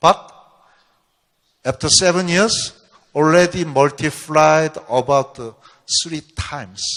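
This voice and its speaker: Speaking at a very slow pace with long, frequent pauses, a man uses a fairly high pitch and ordinary pitch variation. His loudness swings widely on a very clean recording with a silent background. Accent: non-native. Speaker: researcher giving a company seminar. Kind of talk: lecture. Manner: halting.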